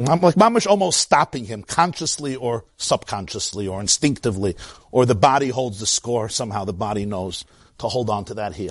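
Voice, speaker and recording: A man with a Brooklyn accent speaks at a fairly quick pace and medium pitch, his intonation lively. His loudness swings widely against a quiet background. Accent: New York (Brooklyn). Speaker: rabbi teaching Torah class. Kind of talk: Torah lecture.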